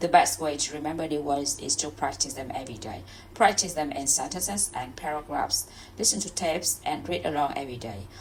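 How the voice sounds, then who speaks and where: With a Vietnamese accent, a woman talks at a fairly quick pace in a very deep, low pitch, making very wide pitch swings over noticeable background noise. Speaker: English learner. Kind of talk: reading aloud; casual chat. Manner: halting.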